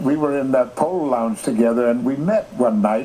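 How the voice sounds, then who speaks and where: A man's voice rises and falls very widely in pitch as he talks fairly quickly, with noticeable background noise behind him. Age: 80s+. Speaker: actor. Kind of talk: interview answer.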